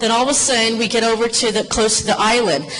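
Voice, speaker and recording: With an American accent, a woman talks at a fairly quick pace and fairly high pitch amid audible room echo and noticeable background noise. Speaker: former police officer sharing family memories. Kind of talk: personal storytelling to an audience. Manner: loud.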